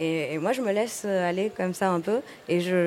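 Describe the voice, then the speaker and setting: A woman's dark, mellow tone at a medium pitch, with fairly even intonation and a moderate pace. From Tunisia. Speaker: film director. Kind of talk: casual chat. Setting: stage with audience. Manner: halting.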